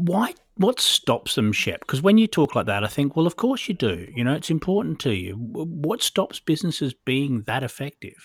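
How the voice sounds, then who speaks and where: A man with a fairly high pitch and vocal fry speaks at a moderate pace, his pitch swinging very widely in a dry, close sound with no echo. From Australia (Perth). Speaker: business podcast host. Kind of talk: casual interview. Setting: remote call.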